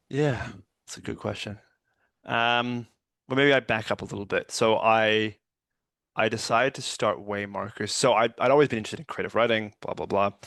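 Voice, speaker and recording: A man at medium pitch talks fairly quickly with fairly even intonation but long, frequent pauses, over a quiet background. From Canada. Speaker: writer and poet, lawyer by profession. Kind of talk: interview conversation.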